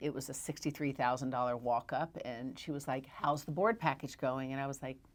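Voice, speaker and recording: A woman speaks with a Southern US accent. Her pitch is very deep and low. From Tennessee, US South. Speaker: real estate broker. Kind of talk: interview. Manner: animated.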